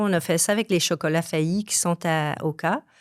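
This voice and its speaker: A woman speaks at a fairly slow pace with a fairly low pitch. Her pitch varies in an ordinary way, and the sound is dry and close with no echo. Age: 60s. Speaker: graphic design teacher. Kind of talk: podcast interview. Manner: hesitant, many fillers.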